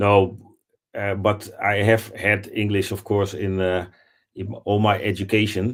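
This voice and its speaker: At a fairly slow pace, a man with a fairly low pitch talks in a monotone, flat manner. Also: very clean recording, silent background. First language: not English. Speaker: assistant, licensed football agent. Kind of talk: live stream discussion.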